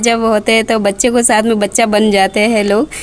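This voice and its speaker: Over noticeable background noise, a woman talks at a moderate pace in a fairly high pitch with fairly even intonation. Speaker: vlogger. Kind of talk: vlog narration.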